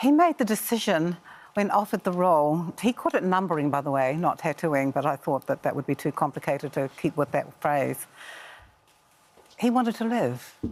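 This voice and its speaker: A woman talks at a fairly quick pace. Her fairly low pitch swings very widely. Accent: New Zealand. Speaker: author. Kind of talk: TV interview.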